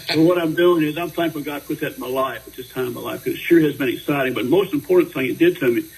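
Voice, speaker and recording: Amid noticeable background noise, a man talks at a very fast pace with hardly any pauses and ordinary pitch variation. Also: fairly high pitch for a man. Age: 70s. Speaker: singer-songwriter. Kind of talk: radio interview. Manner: halting.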